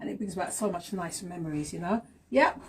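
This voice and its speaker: Over noticeable background noise, a woman talks in an animated tone at a fairly quick pace, her pitch varying in an ordinary way. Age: 50s. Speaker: talk show host. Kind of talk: casual live-stream chat. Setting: Instagram live stream.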